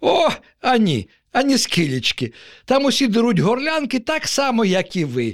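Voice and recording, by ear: Using a put-on character voice, a man talks at a moderate pace in an extremely high pitch with very wide pitch swings, on a very clean recording with a silent background.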